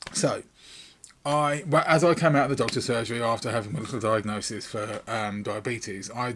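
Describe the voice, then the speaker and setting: Fairly quick and lively in intonation, a man talks with an English accent. The recording is very clean, with a silent background. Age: 50s. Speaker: YouTuber. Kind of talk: casual vlog talk. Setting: home recording room. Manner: rambling with many fillers.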